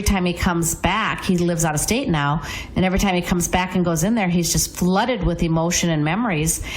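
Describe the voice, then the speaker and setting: There is noticeable background noise. Room echo can be heard as well. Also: woman. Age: 60s. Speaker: real estate agent. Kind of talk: radio talk show chat.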